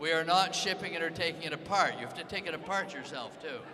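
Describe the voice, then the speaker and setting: Amid noticeable background noise and audible room echo, a man with a high voice talks at a fairly quick pace with ordinary pitch variation. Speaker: competition announcer. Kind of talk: event announcements to live audience. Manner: loud.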